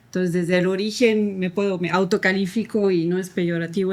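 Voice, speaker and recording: Her intonation is fairly even. The woman's pitch sits in the medium range. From France, French-English family. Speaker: adoptive mother, podcast guest. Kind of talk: interview.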